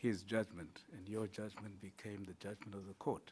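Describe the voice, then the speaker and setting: Fairly low in pitch, a man talks at a moderate pace in a flat monotone. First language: not English. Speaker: judge on interview panel. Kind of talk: job interview.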